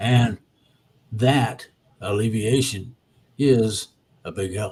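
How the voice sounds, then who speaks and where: Somewhat breathy and at a very slow pace, a man speaks with medium pitch and fairly even intonation. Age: 70s. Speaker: spiritual commentator. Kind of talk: casual chat.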